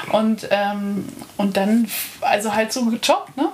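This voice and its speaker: Noticeable background noise behind a woman's fairly high-pitched voice. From Bavaria, Lake Starnberg. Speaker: artist. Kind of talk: casual chat. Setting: live recording in a bed.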